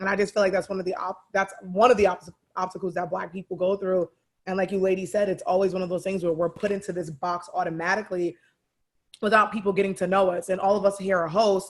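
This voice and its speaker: Loud, very fast, high-pitched speech from a man in a monotone, flat intonation. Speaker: podcast co-host. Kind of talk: casual chat. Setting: round table discussion.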